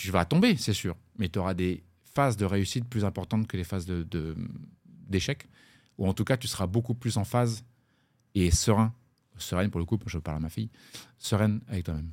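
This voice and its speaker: A man at a fairly low pitch with ordinary pitch variation, at a fairly quick pace, on a very clean recording with a silent background. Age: 40s. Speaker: blockchain startup co-founder, former plumber. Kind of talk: interview. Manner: halting, many repetitions.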